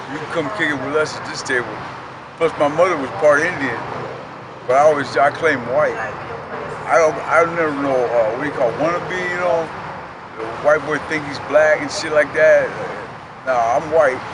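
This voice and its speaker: A man at a fairly high pitch and moderate pace, fairly even intonation, big swings in loudness and long, frequent pauses, with audible room echo and noticeable background noise. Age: 60s. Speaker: former prisoner, homeless man. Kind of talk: life story interview.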